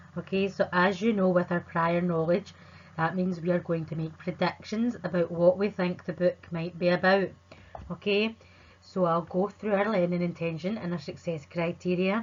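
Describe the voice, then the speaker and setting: A woman with a Scottish accent speaks at a moderate pace and fairly low pitch, her intonation monotone and flat. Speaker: primary school teacher. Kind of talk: remote lesson for children. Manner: clear, friendly teacher talk.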